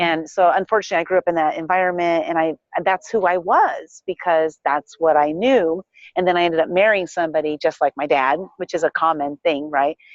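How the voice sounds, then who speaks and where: With an unremarkable speaking voice, this woman talks at a fairly quick pace in a fairly low pitch, her intonation fairly even and her loudness very even. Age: 50s. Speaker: life coach and entrepreneur. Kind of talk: interview.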